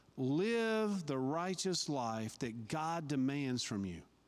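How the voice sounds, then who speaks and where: A man's fairly high voice with very wide pitch swings, very slow, in audible room echo. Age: 50s. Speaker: lay preacher. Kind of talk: sermon. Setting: church.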